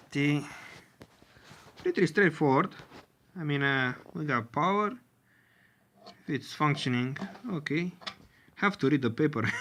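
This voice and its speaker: With a Romanian accent, a man talks at a fairly slow pace in a fairly high pitch, using ordinary pitch variation and long, frequent pauses. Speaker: tech hobbyist video creator. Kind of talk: tutorial. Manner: halting, many filler sounds.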